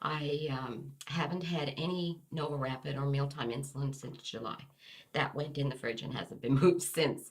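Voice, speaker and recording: A woman speaks at a moderate pace in a very deep, low pitch. Her voice is somewhat breathy, with fairly even intonation. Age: 60s. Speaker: interviewee sharing health story. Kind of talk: testimony. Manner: hesitant, with fillers.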